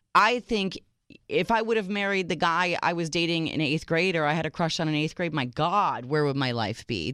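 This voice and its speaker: A woman with an ordinary speaking voice talks at a moderate pace, her fairly low pitch carried by lively intonation in a very clean recording with a silent background. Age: 40s. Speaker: radio dating show co-host. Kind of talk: casual chat. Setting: studio.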